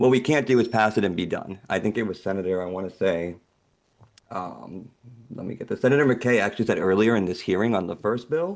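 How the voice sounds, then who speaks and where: A man talks at a fairly quick pace in a shaky, fairly low-pitched voice. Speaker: public witness at legislative hearing. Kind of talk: testimony.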